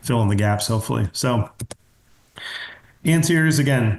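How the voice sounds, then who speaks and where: A somewhat breathy man at medium pitch with a Pennsylvania accent, against a quiet background. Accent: US Mid-Atlantic (Pennsylvania). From Pennsylvania, US. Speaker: pediatric dentist. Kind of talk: webinar lecture. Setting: online webinar. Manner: fast; casual.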